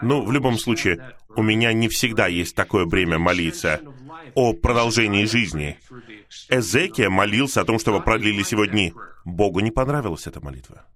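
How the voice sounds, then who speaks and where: His intonation lively, a man with a fairly low pitch speaks at a moderate pace. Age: 60s. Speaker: preacher. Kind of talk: sermon. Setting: video call.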